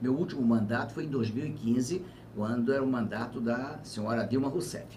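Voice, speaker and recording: Against noticeable background noise and audible room echo, a man speaks at a medium pitch and moderate pace with ordinary pitch variation. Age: 70s. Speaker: former governor and politician. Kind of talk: interview on live web TV.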